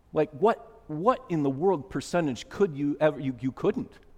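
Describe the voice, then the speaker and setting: With lively intonation and a moderate pace, a man talks in a normal speaking voice. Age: 50s. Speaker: pastor. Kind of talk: sermon. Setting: church.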